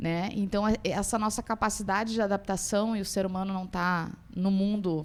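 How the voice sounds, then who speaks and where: With a southern Brazilian accent, a woman speaks at a fairly quick pace and medium pitch, hardly pausing, her intonation monotone and flat, on a very clean recording with a silent background. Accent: gaúcho (southern Brazilian). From Rio Grande do Sul, southern Brazil. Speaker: university professor. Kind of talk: panel talk at opening ceremony. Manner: halting, many fillers.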